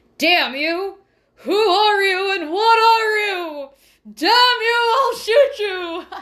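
A put-on character voice speaks at an extremely high pitch and a very slow pace. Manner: aggressive, shouting, threatening.

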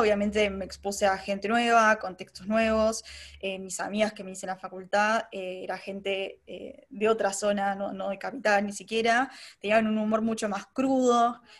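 Moderately paced and fairly even in intonation, a woman uses a normal speaking voice at a medium pitch. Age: 20s. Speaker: advertising professional. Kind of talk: casual interview chat.

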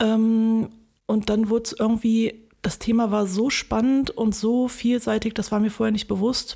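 Speaking at a moderate pace, a woman with a fairly high pitch, a dark, mellow tone and a somewhat breathy sound keeps a monotone, flat intonation. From Germany, Wuppertal. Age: 30s. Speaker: filmmaker. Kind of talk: interview.

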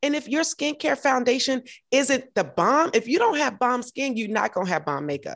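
A woman speaks at a moderate pace with an American accent, her high pitch moving in very wide swings. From US South, Augusta, Georgia. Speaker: podcast host, model and triathlete. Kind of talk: casual interview chat.

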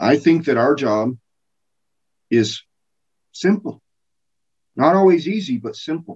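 With an American accent, a man speaks slowly, his voice fairly high and somewhat breathy. His intonation is lively, with long, frequent pauses. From US, small-town Colorado. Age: 40s. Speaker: preacher. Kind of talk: sermon.

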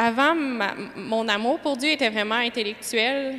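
Speaking very slowly in a Quebec accent, a woman keeps a high pitch and fairly even intonation. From Quebec (Lévis). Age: 20s. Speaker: parishioner giving testimony. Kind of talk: testimony.

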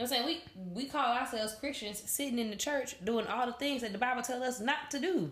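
Amid noticeable background noise and audible room echo, a woman speaks at a very fast pace with a high pitch. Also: ordinary pitch variation. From Louisiana. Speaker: third grade teacher. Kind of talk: casual chat.

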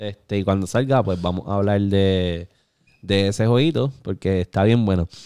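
With a Puerto Rican accent, a man speaks at a moderate pace and fairly low pitch, with ordinary pitch variation. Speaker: gaming podcast host. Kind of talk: casual chat. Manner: animated.

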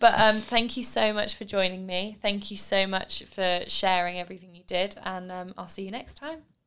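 A woman's unremarkable speaking voice at medium pitch, with ordinary pitch variation, big swings in loudness, a moderate pace and hardly any pauses. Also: very clean recording, silent background. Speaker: podcast host. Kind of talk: casual interview chat. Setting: home studio.

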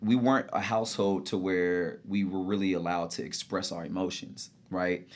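A man with an American accent speaks at a moderate pace in an unremarkable speaking voice. His pitch is fairly low, and the background is quiet. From Texas, Dallas area. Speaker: personal trainer. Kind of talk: casual interview. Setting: studio.

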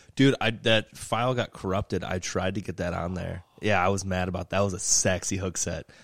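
Hardly pausing, a man with an American accent speaks at a fairly quick pace in a very deep, low pitch and fairly even intonation, the sound dry and close with no echo. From outside Michigan. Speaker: fishing podcast host. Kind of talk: casual chat. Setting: garage.

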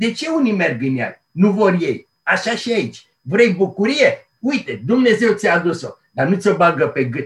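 The man's high voice moves through very wide pitch swings at a fairly slow pace. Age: 70s. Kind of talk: interview. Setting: remote call.

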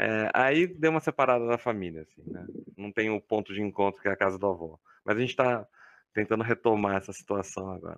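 A man speaks in a plain, everyday voice, fairly low in pitch and at a fairly quick pace, with ordinary pitch variation. His loudness swings widely, and the sound is dry and close with no echo. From Campinas, interior of São Paulo, Brazil. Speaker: chemistry professor. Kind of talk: casual interview.

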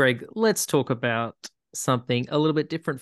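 A man with an Australian accent speaks at medium pitch, the sound dry and close with no echo against a quiet background. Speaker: sports podcast host. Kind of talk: casual chat.

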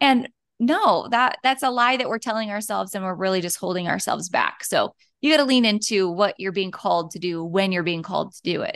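A woman talks fairly quickly with an American accent, using a plain, everyday voice at medium pitch. Her intonation is lively and her loudness swings widely. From North Dakota, US. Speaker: boutique business founder. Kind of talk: interview conversation.

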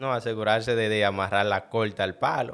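A man speaks in a fairly low, flat monotone on a very clean recording with a silent background. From Dominican Republic, El Cercado. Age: 30s. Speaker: head chef. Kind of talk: interview.

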